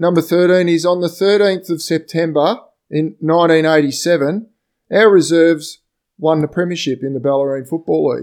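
A man with an Australian accent speaks at a high pitch. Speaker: podcast host. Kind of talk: casual chat. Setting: video call.

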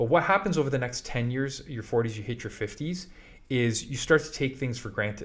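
A man talks at a moderate pace with medium pitch. His voice is somewhat breathy, with ordinary pitch variation. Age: 40s. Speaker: podcast co-host, business owner. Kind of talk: casual chat.

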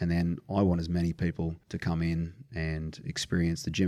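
A man's very deep, low voice in an Australian accent, dark and mellow in tone. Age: 40s. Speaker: strength and conditioning coach. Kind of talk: casual chat.

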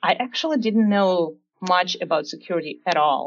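The speaker has a Russian accent and lively intonation. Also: woman. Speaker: security research engineer. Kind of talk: interview.

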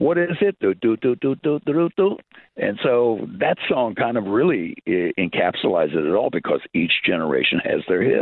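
A man with an American accent at a medium pitch, moderate in pace, his pitch swinging very widely and his loudness very even. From US Midwest. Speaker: former TV music presenter and radio host. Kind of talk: casual interview chat.

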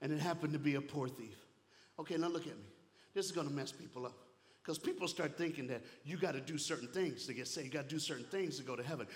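Somewhat breathy and animated, a man with a fairly high pitch talks at a very fast pace with ordinary pitch variation. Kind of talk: sermon. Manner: animated, call-and-response, fervent.

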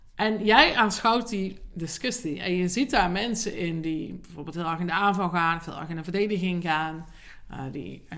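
Loudness swings widely in this bright, sharp voice, which moves at a moderate pace with ordinary pitch variation and audible room echo. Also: woman. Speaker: podcast host and leadership coach. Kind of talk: solo podcast monologue. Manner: hesitant with fillers.

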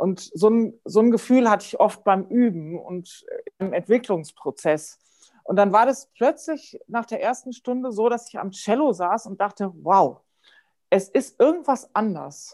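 A woman talks fairly slowly in a dark, mellow tone at a fairly high pitch. Her intonation is lively and her loudness swings widely. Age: 50s. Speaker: music professor and Feldenkrais teacher. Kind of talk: casual interview. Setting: podcast recording.

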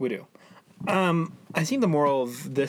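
The pitch of a man's voice varies in an ordinary way as he talks. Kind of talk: mock park announcer, playful ring-style intro.

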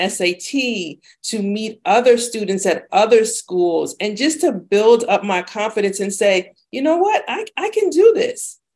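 At a fairly slow pace comes a plain, everyday voice. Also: woman. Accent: American. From Bronx, New York City. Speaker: university lecturer. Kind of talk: interview.

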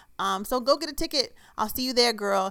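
In an animated tone with ordinary pitch variation, a woman speaks on a very clean recording with a silent background. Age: 30s. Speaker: podcast host and author. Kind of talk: casual podcast chat.

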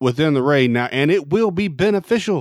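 A man's unremarkable speaking voice, fairly high-pitched, at a moderate pace with lively intonation, on a very clean recording with a silent background. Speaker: podcast host. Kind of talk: casual chat.

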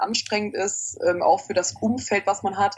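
A woman with an ordinary speaking voice, medium pitch, fairly even intonation and a moderate pace. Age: 20s. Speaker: opera singing student. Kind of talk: interview.

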